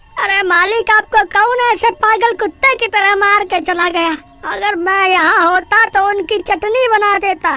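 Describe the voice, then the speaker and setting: A woman does a cartoonish character voice, speaking fairly slowly with hardly any pauses. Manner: obsequious, calls everyone master.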